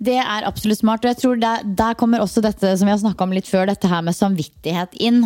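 A woman with an ordinary speaking voice talks at a fairly quick pace and medium pitch, with lively intonation. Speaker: podcast host. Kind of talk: casual chat. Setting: at a kitchen table.

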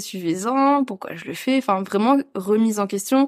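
A woman with a normal speaking voice talks at a moderate pace with ordinary pitch variation, in a very clean, dry, close recording with a silent background and no echo. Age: 20s. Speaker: content creator and photo model. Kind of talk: casual interview chat. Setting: at the host's home.

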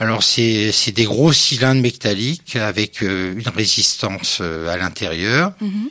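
With noticeable background noise behind him, a man of medium pitch speaks at a fairly slow pace with lively intonation. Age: 60s. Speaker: master fabric pleater. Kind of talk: casual interview. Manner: hesitant, many fillers.

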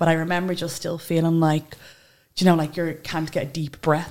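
In a Dublin accent, a woman with a very deep, low pitch speaks in a monotone, flat intonation on a very clean recording with a silent background. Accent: Dublin Irish. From Ireland, Dublin (Tallaght). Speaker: social media influencer. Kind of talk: interview conversation.

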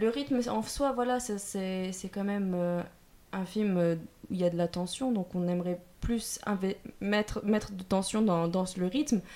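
Her voice at medium pitch, a woman speaks at a fairly slow pace in a dark, mellow tone with ordinary pitch variation. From southern France. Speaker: film production student. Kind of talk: casual chat.

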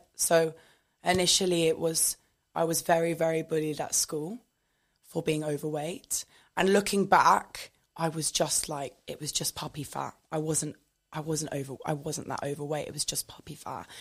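A woman with a southern English accent has a very deep, low pitch and fairly even intonation. She talks at a moderate pace in a very clean recording with a silent background. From southern England. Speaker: fitness content creator. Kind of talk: casual interview.

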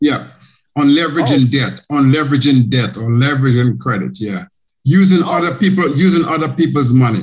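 A somewhat breathy man's voice, fairly high in pitch with ordinary pitch variation, at a fairly quick pace. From Caribbean. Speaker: podcast host, accountant. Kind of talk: interview podcast.

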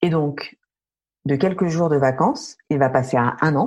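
The intonation is lively and the delivery somewhat breathy. The pace is fairly slow. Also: woman. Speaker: podcast host. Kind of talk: interview. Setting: remote recording.

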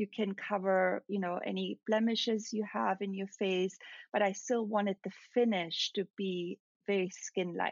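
The speaker has a German accent and fairly even intonation. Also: woman, medium pitch for a woman, fairly slow pace. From Austria, near Salzburg. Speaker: celebrity makeup artist. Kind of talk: interview.

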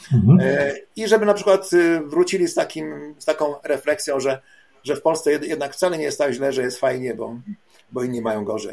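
Here a man talks at a fairly quick pace with a fairly high pitch. His intonation is lively. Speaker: travel agency owner. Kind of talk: interview. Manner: halting.

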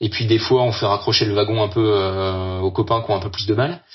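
A man talks in a fairly low, somewhat breathy voice. His intonation stays fairly even. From Brittany, France (Brest). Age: 30s. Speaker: adventurer, workplace safety officer. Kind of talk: testimony. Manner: halting.

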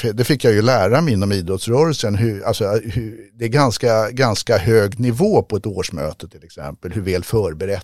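At a moderate pace, a man speaks in a fairly low pitch with ordinary pitch variation, the sound dry and close with no echo on a very clean recording with a silent background. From Stockholm, Sweden (southern Stockholm). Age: 60s. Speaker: ice hockey coach and federation adviser. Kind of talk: interview. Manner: halting, many repetitions.

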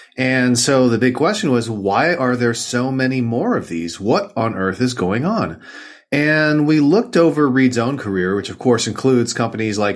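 A man's medium-pitched voice at a moderate pace, an ordinary speaking voice with lively intonation and hardly any pauses. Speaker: author and venture investor. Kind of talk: interview conversation.

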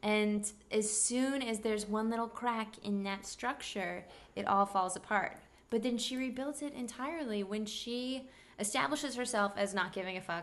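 A woman with an American accent speaks at a moderate pace in a fairly high pitch with ordinary pitch variation, a plain, everyday voice. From Kansas City, Missouri. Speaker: actor and host. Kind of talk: casual chat.

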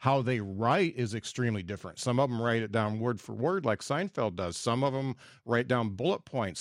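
A plain, everyday voice belongs to this man, pitched in the medium range. His delivery is fairly quick, and his pitch varies in an ordinary way. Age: 50s. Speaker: podcast host and stand-up comedian. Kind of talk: casual interview chat.

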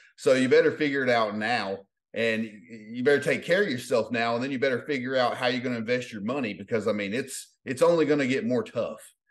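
The delivery is very fast and energetic, with hardly any pauses and ordinary pitch variation. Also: man, medium pitch for a man. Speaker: life transformation coach. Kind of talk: interview.

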